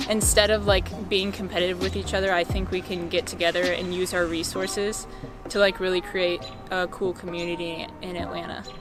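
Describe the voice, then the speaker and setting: With music in the background, a woman with an American accent talks at a fairly quick pace. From US South, Georgia (Canton). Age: 20s. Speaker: photographer. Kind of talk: interview talk. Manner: casual, many filler words.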